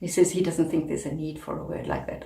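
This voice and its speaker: A woman speaks with a South African accent. There is audible room echo and noticeable background noise. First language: Afrikaans. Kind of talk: advocacy talk to camera.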